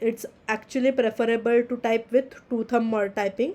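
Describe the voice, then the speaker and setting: A woman with a non-native accent speaks at a moderate pace in a fairly high pitch, her dark, mellow tone held to a monotone, flat intonation. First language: not English. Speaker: teaching assistant. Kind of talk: tutorial. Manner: halting.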